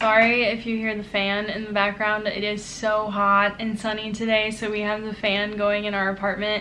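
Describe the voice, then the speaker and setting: Against noticeable background noise and audible room echo, a woman speaks at a fairly high pitch with monotone, flat intonation and hardly any pauses. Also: moderate pace. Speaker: book vlogger. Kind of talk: casual vlog chat. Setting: apartment.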